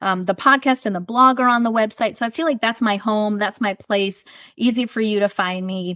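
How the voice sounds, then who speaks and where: A woman's fairly high, bright, sharp voice at a fairly quick pace, animated in tone with ordinary pitch variation, dry and close with no echo over a quiet background. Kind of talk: podcast interview. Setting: podcast. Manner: fast.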